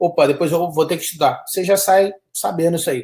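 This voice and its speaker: This man has a high pitch and an animated tone. He moves at a fairly quick pace. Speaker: study abroad consultant. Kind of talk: live webinar chat.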